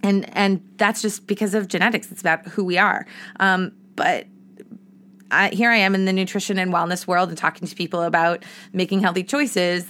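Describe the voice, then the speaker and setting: A woman with an American accent speaks at a fairly quick pace and medium pitch. Her tone is animated, bright and sharp. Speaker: podcast host, entrepreneur and former actress. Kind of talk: casual solo podcast monologue. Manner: animated, talkative.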